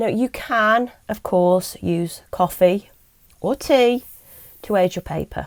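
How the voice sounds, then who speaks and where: A woman with an English accent speaks at a fairly high pitch with lively intonation. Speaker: miniature crafting YouTuber. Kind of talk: tutorial. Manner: hesitant, many ums.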